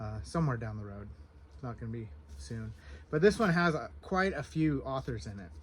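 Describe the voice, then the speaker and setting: A soft-spoken man, somewhat breathy, with a medium pitch and lively intonation. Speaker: book reviewer. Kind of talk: casual vlog, book haul. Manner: hesitant, filler words.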